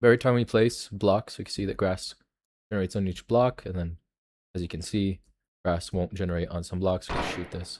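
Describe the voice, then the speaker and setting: On a very clean recording with a silent background, a man speaks at a very deep, low pitch. His pace is fairly quick and his intonation fairly even. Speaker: game developer. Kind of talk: tutorial. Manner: casual, hesitant with fillers.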